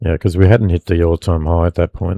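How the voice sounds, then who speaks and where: With an Australian accent, a man speaks in a very deep, low pitch and a dark, mellow tone, the sound dry and close with no echo. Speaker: futures trader streamer. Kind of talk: live trading commentary. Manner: casual, hesitant with many fillers.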